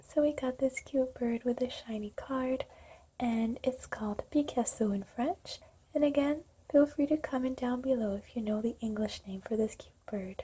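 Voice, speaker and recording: A woman whispers. Her voice is soft-spoken. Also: moderate pace. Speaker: music therapist. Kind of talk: ASMR unboxing. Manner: whispered, soft-spoken.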